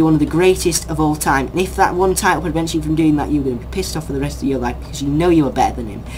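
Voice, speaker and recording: Very fast speech with hardly any pauses, over noticeable background noise. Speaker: YouTuber discussing sports news. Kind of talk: opinion rant vlog. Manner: animated.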